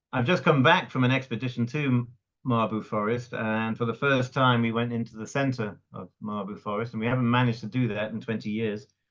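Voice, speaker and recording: A man with a Welsh accent, fairly quick, fairly even intonation and hardly any pauses. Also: medium pitch for a man. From Wales (Cardiff, raised in North Wales). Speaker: conservationist. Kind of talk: interview. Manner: halting, repeats words.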